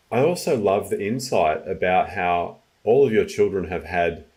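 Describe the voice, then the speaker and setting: A man speaks in a plain, everyday voice, pitched fairly low. His pace is moderate and his intonation lively. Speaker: podcast host, well-being coach. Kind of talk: podcast interview, casual conversation.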